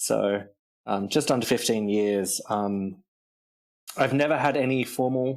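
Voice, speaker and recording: A man talks with an Australian accent. His pace is moderate and his pitch variation ordinary. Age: 30s. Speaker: composer. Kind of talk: interview.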